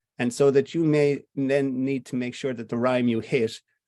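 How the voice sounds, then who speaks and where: In a West of Ireland accent, a man speaks at a moderate pace and medium pitch against a quiet background. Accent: West of Ireland Irish. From Ireland, Connemara (Clifden). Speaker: playwright. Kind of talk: interview conversation.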